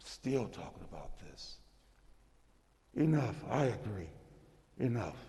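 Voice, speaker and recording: In a room with audible echo, a man with a dark, mellow tone and vocal fry speaks fairly slowly at a medium pitch, with ordinary pitch variation and long, frequent pauses. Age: 60s. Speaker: state senator. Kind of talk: legislative floor speech. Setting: senate chamber. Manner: impassioned.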